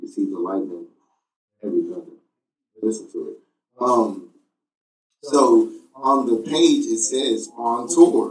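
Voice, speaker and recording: The man's fairly slow speech is broken by long, frequent pauses. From Temple, Texas. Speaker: drummer, band member.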